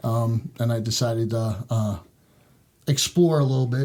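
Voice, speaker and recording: A man's medium-pitched, somewhat breathy voice with a dark, mellow tone, ordinary pitch variation and a slight New York accent. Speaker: sheriff's deputy. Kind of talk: podcast interview. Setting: church. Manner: hesitant, many fillers.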